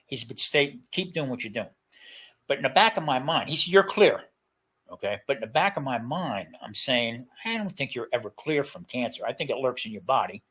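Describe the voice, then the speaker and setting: With an American accent, a man speaks at a fairly quick pace and a fairly high pitch in a bright, sharp tone, making very wide pitch swings and big swings in loudness. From New Jersey, US. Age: 70s. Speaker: retired chef, cancer survivor. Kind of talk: interview testimony. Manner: halting, many repetitions and fillers.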